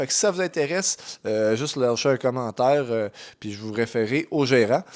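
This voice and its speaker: With lively intonation, a man speaks at medium pitch and a moderate pace on a very clean recording with a silent background. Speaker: vlogger. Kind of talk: voice-over narration. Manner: casual, hesitant.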